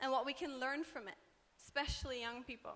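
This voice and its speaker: In a raised, projected voice, a woman speaks with high pitch, a bright, sharp tone and fairly even intonation. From Norway. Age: 20s. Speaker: student activist. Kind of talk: panel talk.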